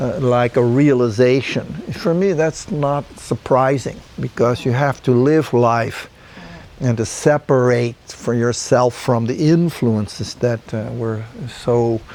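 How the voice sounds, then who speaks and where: Over noticeable background noise, a man speaks very slowly at a medium pitch with ordinary pitch variation. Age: 70s. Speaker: group dialogue facilitator. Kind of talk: reflective group dialogue. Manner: halting.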